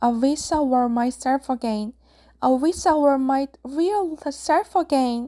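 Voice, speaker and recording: A high-pitched, put-on character voice from a woman, delivered at a fairly slow pace. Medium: read story.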